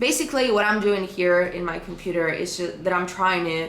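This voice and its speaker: A woman at medium pitch and a moderate pace, with ordinary pitch variation, audible room echo and noticeable background noise. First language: Spanish. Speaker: vlogger and freelance designer. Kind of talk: casual vlog chat. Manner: casual, halting with repetitions.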